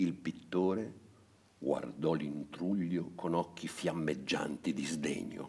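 Vocal fry marks a man's very deep, low pitch. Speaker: narrator reading a story aloud. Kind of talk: bedtime story reading aloud. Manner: gentle, storyteller's narration.

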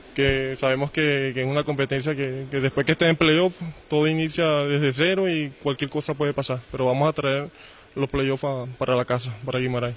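This man has a fairly high pitch, fairly even intonation and very even loudness, speaking at a moderate pace. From Venezuela. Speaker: volleyball player; volleyball coach. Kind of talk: pre-match interview. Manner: halting, many repetitions and fillers. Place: hall. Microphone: handheld.

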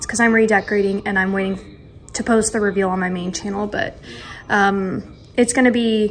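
A woman talks at a moderate pace with fairly even intonation. Light background noise sits behind her. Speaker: lifestyle vlogger. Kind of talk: casual vlog chat. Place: kitchen. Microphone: phone near.

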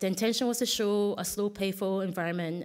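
The woman's speech races along at a very fast pace. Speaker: artist giving a conference talk; conference presenter. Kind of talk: conference presentation. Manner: halting, many restarts. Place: hall.

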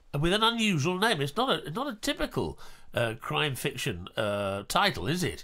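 Recorded very cleanly against a silent background, a man with an English accent speaks at a moderate pace in a fairly high pitch with a bright, sharp tone and vocal fry. His pitch swings very widely. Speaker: podcast co-host and actor. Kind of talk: casual chat. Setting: studio.

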